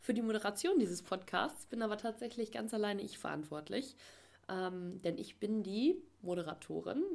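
Using a normal speaking voice, the speaker talks at a moderate pace with lively intonation. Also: woman. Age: 20s. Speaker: podcast host. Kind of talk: solo podcast introduction. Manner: filler-heavy (ähm, äh).

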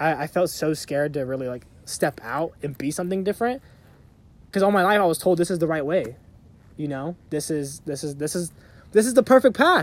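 In a very clean recording with a silent background, a man with a normal speaking voice talks at a fairly quick pace, his pitch fairly high and his intonation lively. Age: 20s. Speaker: podcast co-host. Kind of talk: casual chat. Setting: outdoors on a hiking trail.

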